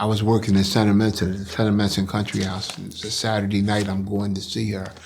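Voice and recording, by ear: A man talks fast in a flat monotone with vocal fry. His tone is slightly mellow. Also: fairly low pitch for a man.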